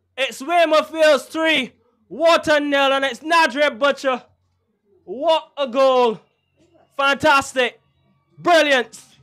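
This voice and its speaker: A man shouting at an extremely high pitch, very slowly and with long, frequent pauses, over music in the background. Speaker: match commentator. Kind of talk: live sports commentary at goals. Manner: excitable, shouting, exclamatory on goals.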